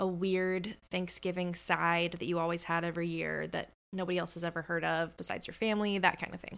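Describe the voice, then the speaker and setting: In a normal speaking voice, a woman talks at a fairly quick pace and medium pitch on a very clean recording with a silent background. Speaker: friend interviewer. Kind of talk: casual chat. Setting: home, over tea.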